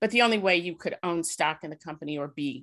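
A woman with an American accent speaks in a very deep, low pitch over a quiet background. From US Midwest, South Side Chicago. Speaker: corporate inclusion executive. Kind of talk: interview.

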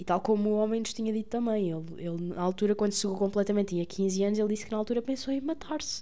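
Very fast speech from a woman in a Lisbon accent, medium in pitch with ordinary pitch variation. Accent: European Portuguese, Lisbon. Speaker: podcaster, medical student. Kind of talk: casual monologue. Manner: hesitant with fillers.

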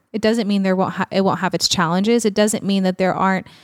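A plain, everyday voice with an American accent and fairly even intonation, dry and close with no echo, on a very clean recording against a silent background. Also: woman. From small-town Texas. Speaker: speaker and nonprofit ministry leader. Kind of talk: casual interview chat. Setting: studio couch.

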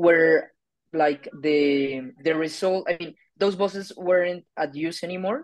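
A woman with a Spanish accent speaks at a fairly slow pace in a fairly low pitch. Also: ordinary pitch variation. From Colombia. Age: 20s. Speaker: political scientist. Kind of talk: debate. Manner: halting.

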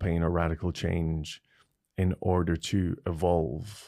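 A man speaks with a very deep, low pitch and a dark, mellow tone. The recording is very clean with a silent background. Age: 30s. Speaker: psychologist. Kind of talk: casual interview. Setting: studio. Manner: reflective.

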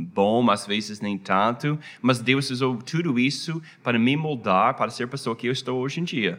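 Medium-pitched male speech with an American accent, ordinary pitch variation and a moderate pace, on a very clean recording with a silent background. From United States. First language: English (speaking Portuguese). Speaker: pastor. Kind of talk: interview. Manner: halting, many fillers.

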